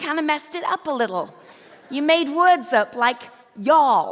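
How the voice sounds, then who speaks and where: A woman speaks in a raised, projected voice at a high pitch, with lively intonation and an animated tone. Noticeable background noise runs beneath her. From England. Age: 50s. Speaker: author and leadership speaker. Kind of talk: keynote speech. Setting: stage with audience.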